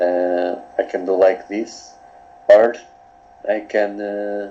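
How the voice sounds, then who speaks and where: A man's fairly low voice, very slow in pace, with fairly even intonation. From Portugal. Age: 20s. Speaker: coaching client. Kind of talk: coaching session. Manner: halting.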